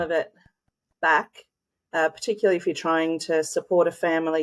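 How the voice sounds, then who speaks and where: Moderate pace with an Australian accent. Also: woman. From Australia, small country town. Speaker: school leader, former principal. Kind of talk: interview answer.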